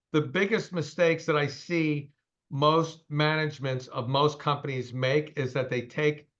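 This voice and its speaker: Over a quiet background, a man speaks in a monotone, flat intonation at a fairly high pitch, his tone bright and sharp. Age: 60s. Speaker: company CEO. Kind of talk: interview. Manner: fast.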